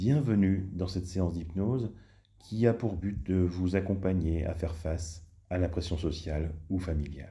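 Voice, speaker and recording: A man with a very deep, low pitch speaks at a fairly slow pace in a calm tone, dark and mellow and somewhat breathy, with ordinary pitch variation. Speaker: hypnotherapist. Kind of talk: guided hypnosis session. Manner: slow, calm.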